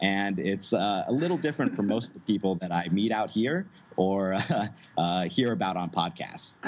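Speaking at a moderate pace with an American accent, a man uses an unremarkable speaking voice, fairly low pitch and ordinary pitch variation. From United States. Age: 20s. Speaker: digital nomad entrepreneur. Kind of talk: interview.

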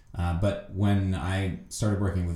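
With an American accent, a man speaks at a moderate pace in a very deep, low pitch, his tone dark, mellow and somewhat breathy, with audible room echo. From United States. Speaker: Olympic fencer. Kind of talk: interview.

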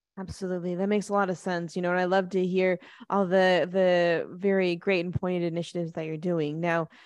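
Against a quiet background, a woman speaks at a medium pitch and a fairly quick pace in an enthusiastic tone. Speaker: podcast host. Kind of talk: interview.

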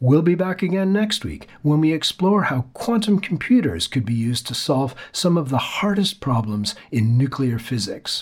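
Hardly pausing, a man talks at a moderate pace in a fairly high pitch with very wide pitch swings. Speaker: podcast host. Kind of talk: scripted intro and outro reading.

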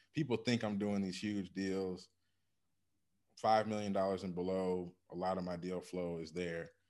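Speaking in a normal speaking voice with an American accent, a man keeps a fairly low pitch, fairly even intonation and a moderate pace. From Michigan, US Midwest. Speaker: business acquisition advisor, former engineer. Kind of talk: interview. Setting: remote call.

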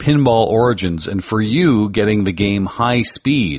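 The speaker is a man with lively intonation. He moves at a fairly slow pace. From Canada. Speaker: podcast host. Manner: smooth delivery.

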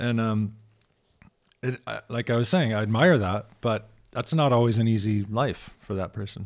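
Ordinary pitch variation shapes an ordinary speaking voice. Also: man, medium pitch for a man, moderate pace. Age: 40s. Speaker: podcast host. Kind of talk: casual chat.

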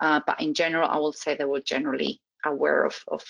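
A woman with a Spanish accent at a very fast pace. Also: dry, close sound with no echo. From Spain. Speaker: criminology professor. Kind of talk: interview.

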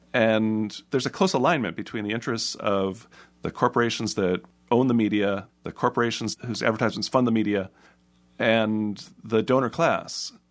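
With a quiet background, a man with a normal speaking voice talks at a moderate pace, with medium pitch and ordinary pitch variation. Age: 50s. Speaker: media critic and editor. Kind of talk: radio interview. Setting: studio.

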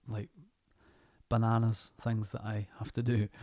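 A dark, mellow tone marks this voice. Nothing intrudes on the very clean recording, with a silent background. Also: man. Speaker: actor. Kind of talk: casual chat.

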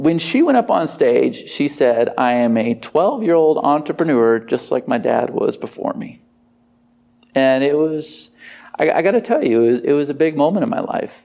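A fairly high male voice at a moderate pace, swinging very widely in pitch. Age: 40s. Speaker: online marketing entrepreneur and former police officer. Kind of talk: interview.

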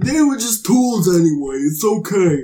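In a put-on character voice, a man speaks at a moderate pace in a high pitch with very wide pitch swings.

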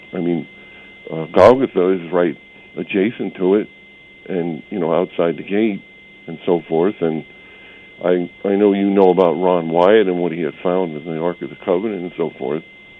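Very deep, low male voice at a moderate pace, fairly even in intonation, broken by long, frequent pauses, with noticeable background noise. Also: big swings in loudness. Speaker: caller. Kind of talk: casual chat. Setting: phone call.

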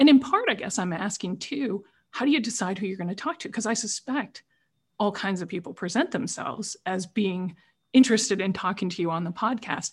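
A woman speaks at medium pitch and a fairly quick pace, her voice somewhat breathy. Her intonation is lively. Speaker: podcast host. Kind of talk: interview moderation. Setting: video call.

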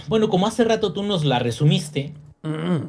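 A man talks with lively intonation. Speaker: gaming podcast co-host, engineer. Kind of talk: casual chat.

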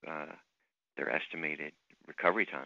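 A man with vocal fry talks at a very fast pace. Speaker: plastic surgeon. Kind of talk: radio interview.

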